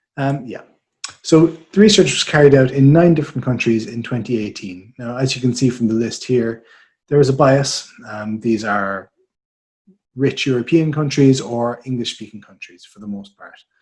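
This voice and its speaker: In an Irish accent, a man speaks at a moderate pace. His loudness swings a lot. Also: medium pitch for a man, ordinary pitch variation. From Ireland. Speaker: market research director. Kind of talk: webinar presentation.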